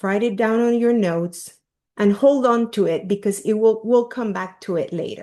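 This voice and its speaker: A woman's fairly high voice in a Peruvian accent, dark and mellow in tone, with ordinary pitch variation at a moderate pace against a quiet background. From Peru, Lima. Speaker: leadership coach. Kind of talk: workshop talk.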